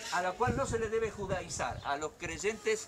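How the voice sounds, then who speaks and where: The voice has an animated tone and ordinary pitch variation at a moderate pace, with noticeable background noise. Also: man. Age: 60s. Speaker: pastor. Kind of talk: sermon.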